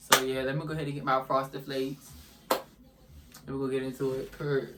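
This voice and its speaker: Over noticeable background noise, a man speaks fairly quickly at a medium pitch with a monotone, flat intonation. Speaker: YouTuber. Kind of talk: storytime mukbang vlog.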